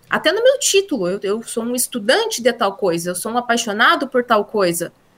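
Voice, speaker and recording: Speaking in a rural Brazilian accent, a woman uses a fairly high pitch. She keeps a moderate pace with very wide pitch swings. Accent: Brazilian countryside (interior). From Brazil, interior (countryside). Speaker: LinkedIn consultant and teacher. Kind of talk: interview.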